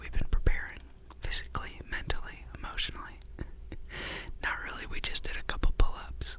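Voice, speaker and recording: A man whispering in a relaxed tone amid noticeable background noise. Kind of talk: whispered ASMR gameplay commentary. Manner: whispered, relaxed, friendly.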